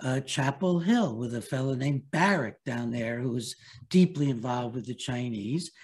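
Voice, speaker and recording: Somewhat breathy, a man speaks at a moderate pace. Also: medium pitch for a man, ordinary pitch variation. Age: 80s+. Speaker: psychiatrist and author. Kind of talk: interview. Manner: halting.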